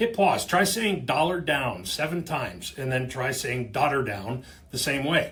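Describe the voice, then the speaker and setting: In an ordinary speaking voice, a man talks at a fairly slow pace with a fairly high pitch and lively intonation. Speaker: company video host / explainer about auctioneering. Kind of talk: casual explainer talking to camera. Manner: conversational, humorous.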